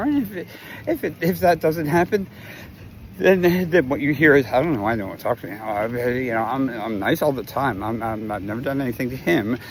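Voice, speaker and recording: Noticeable background noise runs under the clip. A man at medium pitch talks with lively intonation. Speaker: video blogger. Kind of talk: casual storytelling monologue.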